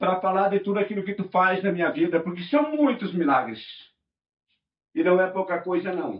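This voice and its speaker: A man speaks at a high pitch with lively intonation. His pace is moderate, broken by long, frequent pauses. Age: 60s. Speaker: pastor. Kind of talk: sermon.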